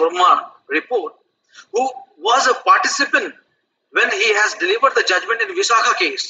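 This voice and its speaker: A man talks at a moderate pace, with light background noise behind him. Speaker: law professor. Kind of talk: panel discussion. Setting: video call. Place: office. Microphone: headset.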